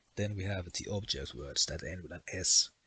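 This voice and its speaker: A man with a Finnish accent speaks with a very deep, low pitch. His tone is bright and sharp, and his intonation fairly even. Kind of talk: educational explainer.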